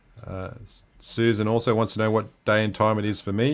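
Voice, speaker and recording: Recorded very cleanly against a silent background, a man speaks with an Australian accent at a fairly low pitch. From Western Australia. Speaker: livestream host. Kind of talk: casual chat.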